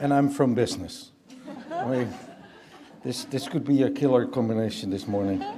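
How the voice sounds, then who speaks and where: In a Dutch accent, the speaker goes at a moderate pace with long, frequent pauses, amid noticeable background noise and audible room echo. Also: man. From Netherlands. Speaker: business leader, keynote speaker. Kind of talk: keynote speech.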